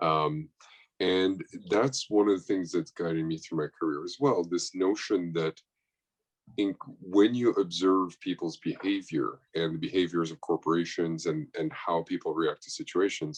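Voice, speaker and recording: With a French accent and a very deep, low pitch, a man speaks at a moderate pace with lively intonation, the sound dry and close with no echo. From France. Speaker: chief sustainability officer. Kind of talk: panel discussion. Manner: halting, many fillers.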